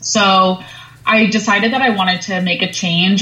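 Noticeable background noise sits under this recording. A woman speaks at medium pitch and a moderate pace. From Long Island, New York. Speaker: sustainability professional at a robotics startup. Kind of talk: interview.

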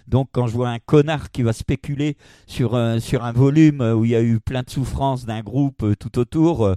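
A man's medium-pitched voice with a dark, mellow tone, ordinary pitch variation and a moderate pace, dry and close with no echo, in a very clean recording with a silent background. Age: 60s. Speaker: manga publisher. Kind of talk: interview. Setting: at his home. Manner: halting.

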